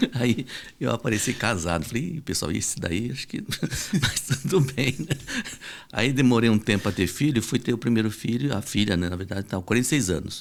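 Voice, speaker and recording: In an ordinary speaking voice, a man talks at a fairly quick pace with medium pitch and lively intonation. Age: 60s. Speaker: reproductive medicine doctor. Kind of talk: podcast interview.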